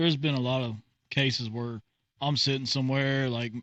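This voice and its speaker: A man with a Texan accent, medium pitch and a moderate pace. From Texas. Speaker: podcast host. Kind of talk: casual chat.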